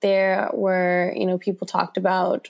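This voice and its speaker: A woman speaks in a Mid-Atlantic American accent at medium pitch. Her pace is moderate, and the recording is very clean with a silent background. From Washington, D.C. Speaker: author and photographer. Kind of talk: interview.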